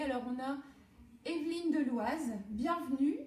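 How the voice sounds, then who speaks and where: Noticeable background noise and audible room echo surround a woman's high voice. She talks at a very slow pace with lively intonation. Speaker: home cooking demonstrator and product seller. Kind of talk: live-stream cooking demo with chat. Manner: animated.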